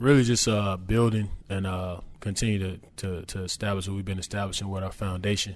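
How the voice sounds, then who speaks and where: Using a normal speaking voice with an American accent, a man talks at a fairly low pitch and a fairly quick pace. His intonation stays fairly even. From Charlotte, North Carolina. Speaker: pro basketball player. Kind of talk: interview.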